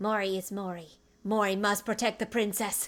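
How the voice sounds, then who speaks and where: On a very clean recording with a silent background, a female-sounding put-on character voice at a medium pitch talks at a moderate pace with monotone, flat intonation. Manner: different voice for the dog.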